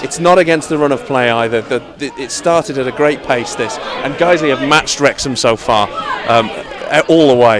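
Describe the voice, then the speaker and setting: Crowd noise sits behind a man talking at a fairly quick pace. His pitch is fairly high, with ordinary variation. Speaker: football radio commentator. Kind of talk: live football radio commentary.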